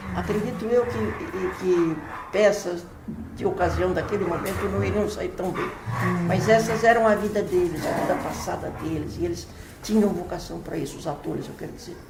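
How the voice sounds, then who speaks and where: A woman at medium pitch with ordinary pitch variation talks at a moderate pace, with big swings in loudness, audible room echo and noticeable background noise. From Brazil, São Paulo. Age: 80s+. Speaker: playwright and poet. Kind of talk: interview. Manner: halting, frequent repetitions.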